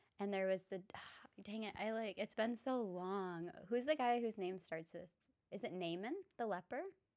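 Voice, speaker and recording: A woman talks at a moderate pace and medium pitch, with ordinary pitch variation. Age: 20s. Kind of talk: casual chat.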